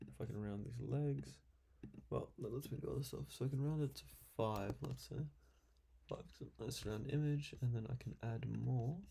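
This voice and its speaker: Quiet mumbling. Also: moderate pace. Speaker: YouTuber doing CAD design tutorial. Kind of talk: live screen-recorded design session with commentary.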